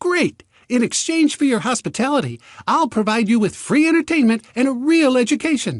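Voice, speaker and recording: A put-on character voice from a man, cheerful in tone, extremely high-pitched, at a fairly quick pace. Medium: read story. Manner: clear and cheerful.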